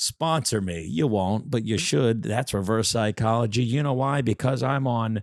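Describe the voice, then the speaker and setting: A man with a New Jersey accent speaks at a moderate pace and medium pitch, with ordinary pitch variation and hardly any pauses. His loudness stays very even on a very clean recording with a silent background. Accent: aggressive New Jersey. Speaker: podcast co-host. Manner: brash, joking.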